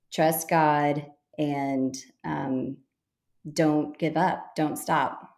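Here is a woman talking. She has a Texan accent. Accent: Texan American. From Texas. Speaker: boutique owner. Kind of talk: interview.

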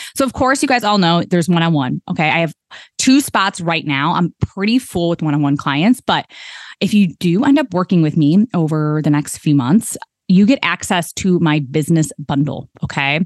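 A woman with an unremarkable speaking voice talks at a moderate pace and fairly low pitch, with lively intonation. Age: 30s. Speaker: business coach podcast host. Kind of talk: solo podcast monologue; sales pitch for own offers. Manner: casual, chatty with fillers.

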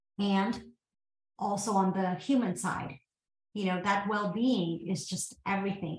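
A woman with an American accent at a medium pitch, ordinary pitch variation and a fairly slow pace broken by long, frequent pauses. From US South, Georgia. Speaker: tech company founder and CEO. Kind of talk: interview.

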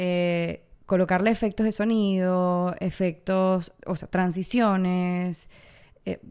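A woman's voice sits at a medium pitch. The recording is very clean and the background is silent. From Venezuela. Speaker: content creator and podcast host. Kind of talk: solo podcast monologue. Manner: animated.

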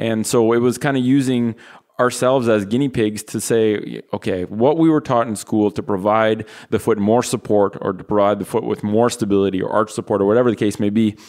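Recorded very cleanly over a silent background, a man with a Canadian accent and a plain, everyday voice talks at a fairly quick pace, using a medium pitch and ordinary pitch variation. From Canada. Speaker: physical therapist. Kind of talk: casual interview. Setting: studio, sharing one microphone.

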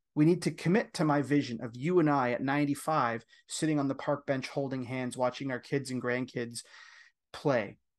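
This man has an ordinary speaking voice, fairly high in pitch, with a Canadian accent and fairly even intonation. He talks at a moderate pace against a quiet background. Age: 40s. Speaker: men's coach. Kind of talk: interview.

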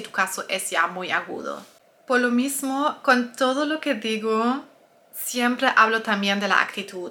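The woman's tone is bright and sharp, pitched fairly high. She moves at a fairly slow pace with ordinary pitch variation. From Germany. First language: German (speaking Spanish). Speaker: nutritionist and health coach. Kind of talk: personal testimony and advice video.

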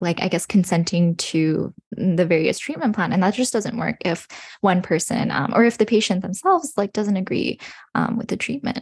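A woman with a Western Canadian accent at medium pitch, speaking at a moderate pace with a dry, close sound and no echo. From British Columbia, Canada (Burnaby, Coquitlam). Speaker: medical student. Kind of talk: casual interview.

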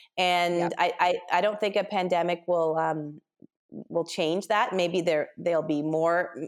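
With an unremarkable speaking voice, a woman in a Canadian accent talks at a fairly slow pace and fairly low pitch, her intonation fairly even and her loudness very even. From Canada, Ontario. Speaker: business organizer and author. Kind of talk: interview, casual chat.

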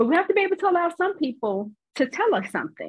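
Her somewhat breathy voice carries lively intonation as the woman speaks. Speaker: therapist and intuitive healer. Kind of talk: casual chat.

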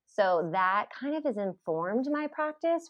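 Her pitch leaps up and down dramatically. The woman keeps to a moderate speed. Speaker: psychologist. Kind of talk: casual interview chat.

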